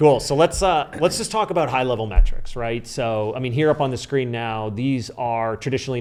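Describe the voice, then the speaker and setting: A man talks at a very fast pace and a medium pitch. Noticeable background noise runs underneath. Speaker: marketing consultant. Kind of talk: podcast interview with screen-share presentation.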